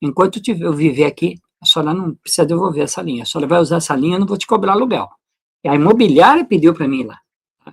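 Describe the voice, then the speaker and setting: Speaking at a very fast pace, a man uses a high pitch with big swings in loudness. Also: lively intonation. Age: 60s. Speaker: natural medicine presenter. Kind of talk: personal testimony. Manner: casual, conversational.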